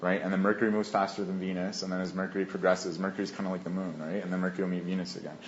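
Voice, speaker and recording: Very fast and flat, a man talks in a monotone at a very deep, low pitch. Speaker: astrologer. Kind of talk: interview.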